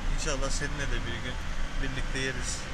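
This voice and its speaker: Loud noise fills the background as a man talks. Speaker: driver vlogger. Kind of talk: casual vlog chat. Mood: cheerful. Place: car. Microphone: phone near.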